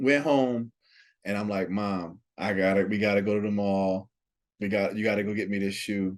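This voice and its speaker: A man with an ordinary speaking voice and an American accent speaks at a fairly low pitch, with fairly even intonation and a moderate pace. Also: quiet background. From South Jersey, US (Pleasantville, near Atlantic City). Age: 30s. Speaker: sneaker collector. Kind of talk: casual chat.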